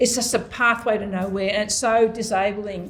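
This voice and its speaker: At a moderate pace, a woman with an Australian accent talks at a fairly high pitch with fairly even intonation over noticeable background noise. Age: 70s. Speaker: mental health peer leader. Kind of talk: panel discussion. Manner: halting, repeats words.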